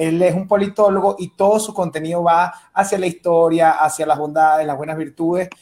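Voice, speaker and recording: The speaker has a Venezuelan accent. The pace is fairly quick. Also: man. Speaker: stand-up comedian. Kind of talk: panel discussion. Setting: video call from Mexico City.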